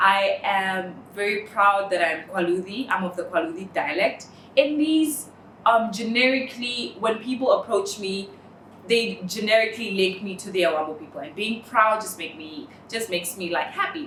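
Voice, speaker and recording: In a Namibian accent, a woman speaks at a moderate pace with lively intonation and big swings in loudness, amid audible room echo and noticeable background noise. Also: medium pitch for a woman. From northern Namibia. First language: Oshiwambo. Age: 20s. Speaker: interviewee. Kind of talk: personal testimony. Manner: hesitant, many fillers.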